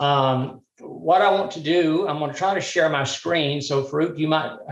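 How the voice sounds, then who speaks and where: With a Southern US accent, a man talks at a moderate pace in a somewhat breathy voice with ordinary pitch variation. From US South, Birmingham, Alabama. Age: 60s. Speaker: mental health speaker. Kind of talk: workshop talk. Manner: halting, many fillers.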